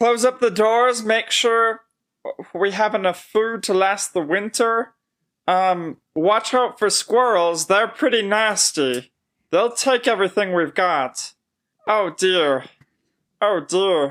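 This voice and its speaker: A put-on character voice with a fairly high pitch comes through on a very clean recording with a silent background. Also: fairly slow pace. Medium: actual play. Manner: fretful, flustered.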